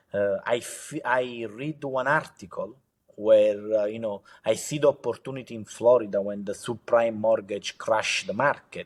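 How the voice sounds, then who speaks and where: With a strong Italian accent, a man speaks at a moderate pace and medium pitch with fairly even intonation and big swings in loudness, in a very clean recording with a silent background. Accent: heavy Italian accent in English. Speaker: entrepreneur. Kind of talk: interview. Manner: halting, many fillers.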